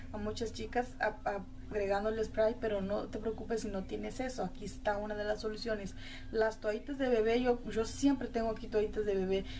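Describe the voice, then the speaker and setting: A woman talks at a fairly quick pace in a monotone, flat intonation over light background noise. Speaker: makeup vlogger. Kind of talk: tutorial. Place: home room. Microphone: phone near.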